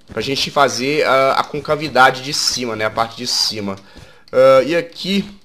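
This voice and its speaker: A man at a medium pitch with a bright, sharp, animated tone, ordinary pitch variation and a fairly slow pace. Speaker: gaming YouTuber. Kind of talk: gameplay commentary. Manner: casual, animated.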